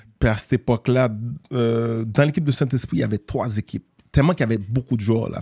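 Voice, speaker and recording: Against a quiet background, a man talks very fast with ordinary pitch variation. His voice is somewhat breathy, with a dark, mellow tone. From Haiti (Port-au-Prince), raised later in Montreal. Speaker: entrepreneur and former basketball player. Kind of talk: casual interview. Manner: hesitant, many fillers. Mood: calm storytelling. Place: studio. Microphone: studio mic.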